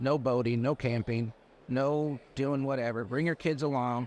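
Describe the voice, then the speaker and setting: Using a normal speaking voice, a man with an American accent talks at a moderate pace, his fairly high pitch showing ordinary variation. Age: 60s. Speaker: landscaping business owner. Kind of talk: casual interview chat. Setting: trade show floor.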